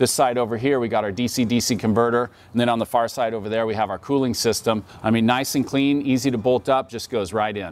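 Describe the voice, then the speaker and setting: At a fairly quick pace with hardly any pauses, a man speaks with fairly even intonation in a dry sound with no echo. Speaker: presenter. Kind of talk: product walkthrough presentation. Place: street.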